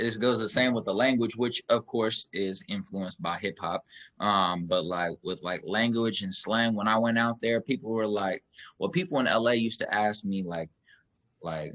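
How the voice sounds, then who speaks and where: A man with a slight Kansas City accent, fairly low pitch, ordinary pitch variation and a moderate pace. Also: dry, close sound with no echo. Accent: slight Kansas City country twang. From Kansas City, Missouri. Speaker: podcast host. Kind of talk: casual interview. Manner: animated.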